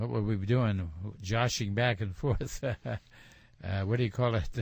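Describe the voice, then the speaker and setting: The voice is somewhat breathy and moves at a fairly slow pace, with ordinary pitch variation. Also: man, fairly low pitch for a man. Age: 80s+. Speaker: camshaft manufacturer. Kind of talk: interview. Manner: halting.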